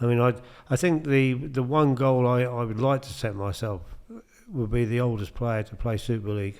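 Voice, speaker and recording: Speaking at a moderate pace, a man has a normal speaking voice with medium pitch and ordinary pitch variation. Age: 60s. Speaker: amateur darts player and charity fundraiser. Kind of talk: casual chat.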